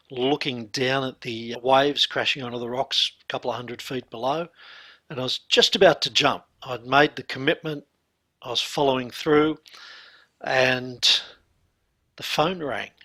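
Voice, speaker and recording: Someone with an Australian accent speaks in a bright, sharp tone with fairly even intonation, big swings in loudness and long, frequent pauses. The recording is very clean, with a silent background. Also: man, medium pitch for a man, moderate pace. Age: 60s. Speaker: hypnotherapist and mindset coach. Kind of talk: interview testimony.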